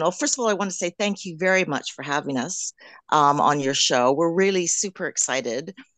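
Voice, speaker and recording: Over a quiet background, a woman in a normal speaking voice talks at a fairly low pitch with lively intonation, the sound dry and close with no echo. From Canada. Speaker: drag king performer. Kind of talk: radio interview.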